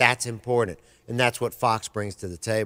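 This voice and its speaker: This man has a Southern US accent. The sound is dry and close, with no echo. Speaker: sports radio co-host. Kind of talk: race preview rundown; casual radio chat. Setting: radio studio with webcam.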